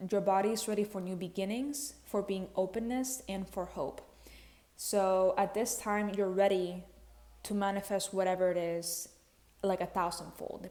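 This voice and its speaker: At a moderate pace, a woman with a non-native accent speaks in a dark, mellow tone with fairly even intonation. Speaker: spiritual content creator. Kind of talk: casual spiritual talk to camera. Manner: casual, conversational with fillers.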